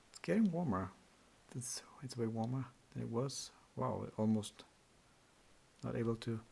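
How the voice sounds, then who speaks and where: At a moderate pace, a man speaks at medium pitch in a dark, mellow, somewhat breathy tone. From Austria. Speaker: electronics repair youtuber. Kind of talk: tutorial. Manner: halting.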